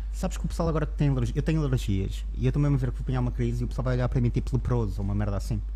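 A man with a very deep, low pitch talks at a very fast pace with hardly any pauses, fairly even intonation and very even loudness, amid noticeable background noise and audible room echo. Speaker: comedian. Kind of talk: casual chat. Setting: barbershop, live stream.

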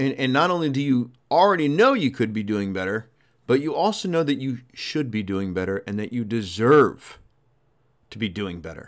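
A man speaks at medium pitch in an energetic tone, his pitch swinging very widely. The recording is very clean, with a silent background. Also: moderate pace. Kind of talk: motivational pep talk, urging listeners to get back to work. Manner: energetic, punchy, emphatic, coach-like; direct, second-person, rallying with short commands.

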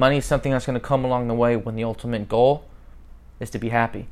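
This is a man speaking with an American accent. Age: 30s. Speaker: podcast host. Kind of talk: motivational monologue.

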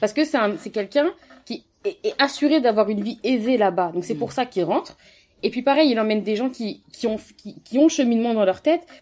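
A woman talks at a fairly quick pace in a normal speaking voice. Her pitch is fairly high and her intonation lively. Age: 20s. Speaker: pharmaceutical engineer, book discussion guest. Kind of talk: casual book discussion.

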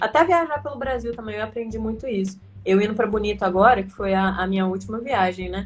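Her pace is very fast, and the woman's voice is somewhat breathy. She has a fairly high pitch with ordinary pitch variation. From Brazil, Minas Gerais. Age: 20s. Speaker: traveler. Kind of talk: casual interview. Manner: animated.

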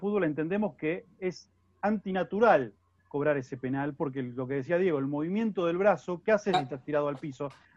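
A man with an ordinary speaking voice talks at a fairly quick pace, his fairly high pitch showing ordinary variation. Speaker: sports journalist. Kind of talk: casual football analysis chat.

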